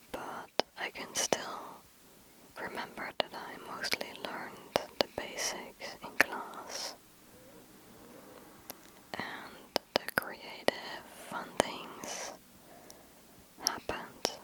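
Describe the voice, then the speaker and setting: Whispering very slowly with long, frequent pauses, a woman speaks in a gentle tone, her loudness swinging widely over noticeable background noise. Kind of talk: ASMR whisper Q&A to camera. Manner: whispered, soft, gentle, slow.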